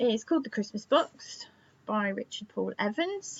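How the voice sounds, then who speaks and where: A woman talking at a moderate pace. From England, Suffolk. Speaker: book vlogger. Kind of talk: casual book review vlog. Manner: chatty with fillers and restarts.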